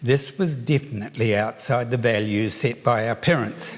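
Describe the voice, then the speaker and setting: A man speaks with a New Zealand accent. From New Zealand, Palmerston North. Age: 70s. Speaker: children's author. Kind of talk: award lecture.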